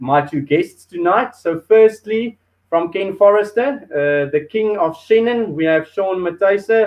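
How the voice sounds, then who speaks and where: Moderate in pace, a man talks with a South African accent and ordinary pitch variation. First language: Afrikaans. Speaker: show host. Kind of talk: hosted food and wine show. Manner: hesitant, many fillers.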